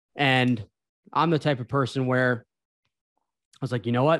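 In a plain, everyday voice, a man talks at a moderate pace and medium pitch on a very clean recording with a silent background. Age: 20s. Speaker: sales account executive. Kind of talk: casual chat.

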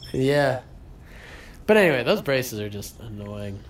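Medium-pitched male voice at a moderate pace, with lively intonation and audible room echo. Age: 20s. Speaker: podcast co-host. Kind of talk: casual chat.

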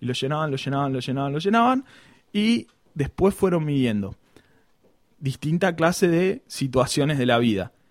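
With lively intonation and long, frequent pauses, a man talks at a moderate pace in a fairly high pitch. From Argentina, Buenos Aires province. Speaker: podcast host. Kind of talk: casual comedic chat.

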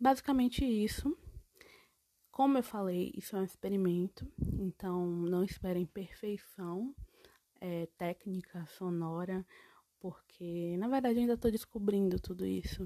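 At a fairly slow pace with long, frequent pauses, a woman speaks at medium pitch in a dark, mellow tone with ordinary pitch variation, the sound dry and close with no echo. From Bahia, Brazil. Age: 20s. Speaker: podcaster. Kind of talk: casual solo podcast monologue.

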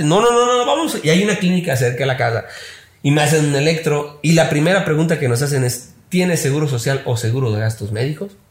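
A normal speaking voice from a man, fairly high-pitched, with lively intonation at a fairly quick pace. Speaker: social media consultant. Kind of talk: casual chat.

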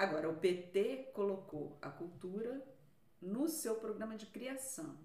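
Very wide pitch swings mark this very slow speech, heard with audible room echo and noticeable background noise. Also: woman, medium pitch for a woman. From Rio de Janeiro, Brazil (Vila da Penha, north zone). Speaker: cultural policy researcher. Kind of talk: interview.

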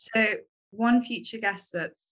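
A woman with a London accent speaks at a fairly slow pace. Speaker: architecture student. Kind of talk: casual chat.

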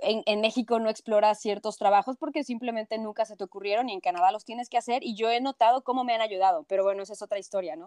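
Racing at a very fast pace with hardly any pauses, a woman with a fairly high pitch shows ordinary pitch variation and big swings in loudness in a dry, close sound with no echo. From Mexico City. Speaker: journalist. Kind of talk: interview.

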